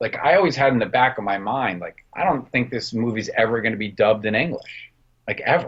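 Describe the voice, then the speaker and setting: Lively in intonation and somewhat breathy, a man of medium pitch talks at a fairly quick pace with a New Jersey accent. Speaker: film director and production designer. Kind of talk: interview.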